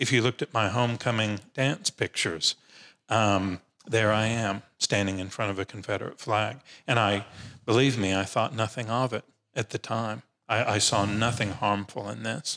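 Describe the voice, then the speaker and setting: On a very clean recording with a silent background and a dry, close sound with no echo, a man speaks at a moderate pace in a bright, sharp tone with fairly even intonation. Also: fairly low pitch for a man. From Nashville, Tennessee. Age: 50s. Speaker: religion professor. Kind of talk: casual chat.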